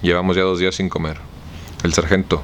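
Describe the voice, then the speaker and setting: Very deep, low-pitched male speech at a very fast pace, monotone and flat, over noticeable background noise. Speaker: audiobook reader. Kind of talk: audiobook novel reading.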